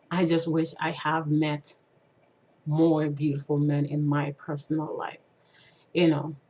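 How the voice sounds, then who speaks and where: Very deep and low, a woman's dark, mellow voice is broken by long, frequent pauses. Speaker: vlogger sharing personal stories. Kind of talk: personal monologue. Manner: halting, many fillers.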